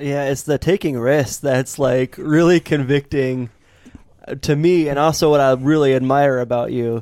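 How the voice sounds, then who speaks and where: A man's fairly high, normal speaking voice at a moderate pace with fairly even intonation. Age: 30s. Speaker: podcast co-host. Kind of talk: casual chat.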